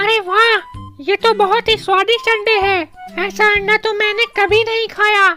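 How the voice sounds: A cartoonish character voice plays over clear music in the background. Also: moderate pace.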